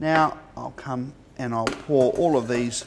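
A man talks very slowly, with light background noise behind him. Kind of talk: tutorial. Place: kitchen.

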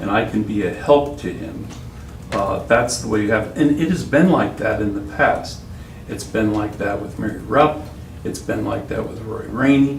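With an American accent, the speaker talks at a moderate pace with lively intonation, amid noticeable background noise and audible room echo. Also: man, fairly low pitch for a man. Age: 60s. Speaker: city attorney. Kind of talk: council meeting remarks. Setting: city council meeting. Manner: halting, repetitive.

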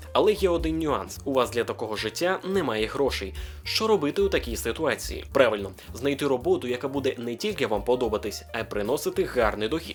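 Over background music, a man at medium pitch speaks at a fairly quick pace with very wide pitch swings. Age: 20s. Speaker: aspiring voice-over artist. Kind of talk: casual talk to camera.

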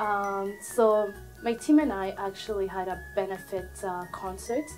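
Faint music plays in the background. Over it, a woman speaks at a fairly slow pace. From Burundi. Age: 20s. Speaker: Red Cross volunteer. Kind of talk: interview answer. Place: office.

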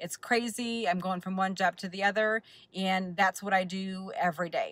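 A woman's bright, sharp voice, dry with no echo, over a quiet background. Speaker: keto vlogger. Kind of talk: casual vlog chat. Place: car. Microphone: phone near.

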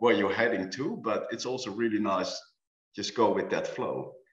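A man talks at a moderate pace, with audible room echo and a quiet background. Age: 50s. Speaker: architect and owner builder. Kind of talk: panel discussion. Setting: video call. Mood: relaxed, reflective. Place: home room. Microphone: webcam.

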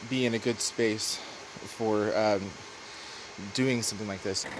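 A man speaks at a moderate pace in monotone, flat intonation. There is noticeable background noise. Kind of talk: tutorial. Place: garage. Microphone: phone near.

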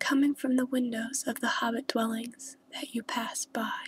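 Soft-spoken and calm, a woman talks very slowly in a high, monotone voice with flat intonation. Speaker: ASMR creator. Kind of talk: guided relaxation visualization. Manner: soft-spoken, slow, calm.

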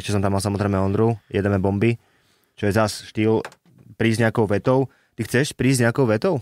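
An unremarkable speaking voice from a man, fairly low in pitch and fairly quick, with very even loudness, a dry, close sound with no echo and a very clean recording over a silent background. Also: fairly even intonation. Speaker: podcast host. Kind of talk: casual interview.

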